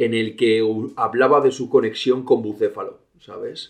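This man talks at a fairly slow pace. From Spain, León province. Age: 30s. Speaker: horse trainer. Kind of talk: interview.

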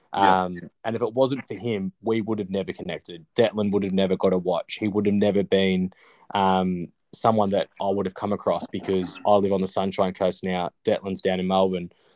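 With an Australian accent, a man talks fairly quickly at a fairly low pitch in a monotone, flat intonation, the sound dry and close with no echo against a quiet background. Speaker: podcast host. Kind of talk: casual chat.

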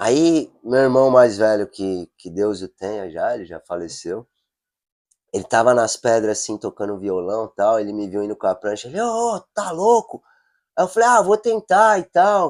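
A man at a moderate pace, with big swings in loudness, a dry, close sound with no echo and a very clean, silent recording. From São Paulo, Brazil. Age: 40s. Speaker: adaptive surfer and project founder. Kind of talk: casual chat.

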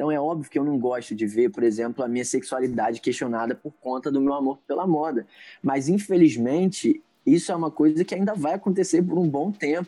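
The tone is dark and mellow, with ordinary pitch variation at a fairly quick pace. The background is quiet. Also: man, fairly high pitch for a man. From Niterói, Rio de Janeiro, Brazil. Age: 20s. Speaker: church creative coordinator. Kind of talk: podcast interview.

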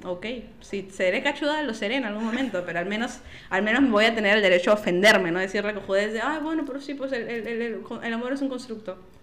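Over noticeable background noise and audible room echo, a woman with a fairly high pitch talks at a very fast pace. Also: ordinary pitch variation. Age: 20s. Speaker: podcast guest. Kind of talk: casual chat.

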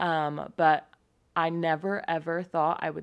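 At a fairly slow pace, a woman talks in a plain, everyday voice with a fairly low pitch. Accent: American. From California. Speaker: podcast host. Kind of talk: casual solo monologue. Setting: recording at home on a computer.

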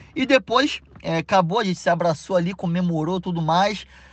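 A man speaks at a high pitch and a moderate pace. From Rio de Janeiro, Brazil. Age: 30s. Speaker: air-conditioning installer. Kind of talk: interview. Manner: enthusiastic, animated.

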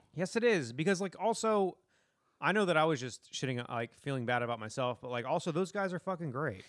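This man talks at a very fast pace, his fairly high voice making very wide swings in pitch. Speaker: comedian and podcast co-host. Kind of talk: casual chat.

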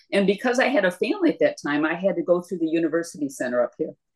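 A woman with an Upper Midwest accent talks at a very fast pace, her pitch swinging very widely. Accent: Upper Midwest American (Michigan). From northern Michigan, Leelanau County. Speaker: retired math teacher and former paralegal. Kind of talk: casual interview chat.

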